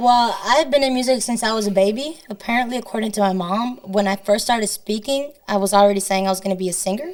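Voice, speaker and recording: A woman's fairly high voice in a Spanish accent, very fast with hardly any pauses and ordinary pitch variation, over noticeable background noise. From northern Illinois, Rockford. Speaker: singer-songwriter. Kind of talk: interview conversation.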